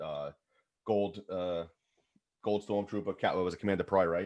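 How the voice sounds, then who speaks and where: A man with a New York accent, a fairly low pitch, a fairly quick pace and fairly even intonation, over a quiet background. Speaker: podcast co-host. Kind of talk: casual chat.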